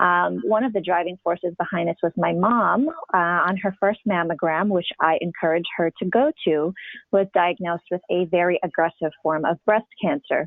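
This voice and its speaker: A woman with an American accent speaks in a fairly low pitch at a moderate pace. Her pitch varies in an ordinary way. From United States, Polish immigrant family. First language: Polish. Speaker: patient advocate. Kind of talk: interview.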